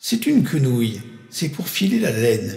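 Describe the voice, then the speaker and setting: In a put-on character voice, a man speaks at a moderate pace with a creaky, fairly high pitch and very wide pitch swings, with a slight echo around him. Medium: read story. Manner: icy, menacing.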